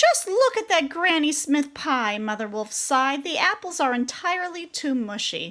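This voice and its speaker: A woman uses a put-on character voice with a high pitch. She speaks at a moderate pace. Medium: read story.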